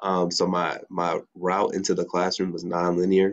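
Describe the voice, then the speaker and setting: A man with an American accent speaks in a very deep, low pitch and a monotone, flat intonation over a quiet background. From US Midwest, Chicago area. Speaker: teacher and nonprofit executive director. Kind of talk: panel discussion.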